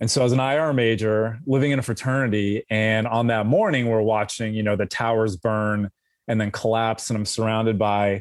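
At a moderate pace and medium pitch, a man with a plain, everyday voice speaks with fairly even intonation. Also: very clean recording, silent background. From US West Coast, Los Angeles. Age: 40s. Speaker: former intelligence analyst, writer. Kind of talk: interview.

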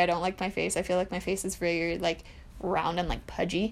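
With vocal fry and a medium pitch, a woman speaks at a fairly quick pace. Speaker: podcast host. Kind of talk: casual chat.

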